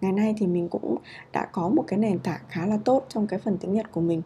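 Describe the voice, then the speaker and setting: Somewhat breathy, a woman talks at a fairly quick pace with a dark, mellow tone and ordinary pitch variation. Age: 30s. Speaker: podcast host, japanese learning blogger. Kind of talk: casual solo talk. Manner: hesitant, many fillers.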